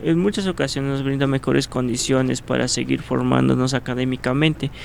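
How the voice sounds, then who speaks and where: Fairly quick speech from a man, noticeable background noise underneath. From Mexico, Cuentepec, Morelos. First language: Nahuatl (speaking Spanish). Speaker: ethnohistory student and Nahuatl teacher. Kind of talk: interview. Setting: radio studio. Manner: hesitant, many fillers.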